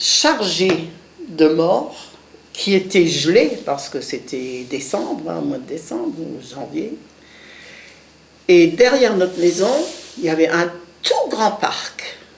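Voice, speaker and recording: A woman with a fairly low pitch talks at a very slow pace, taking long, frequent pauses. Her pitch swings very widely, and there is audible room echo plus noticeable background noise. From Lorraine, France (Moselle). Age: 70s. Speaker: war witness. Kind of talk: testimony. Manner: halting.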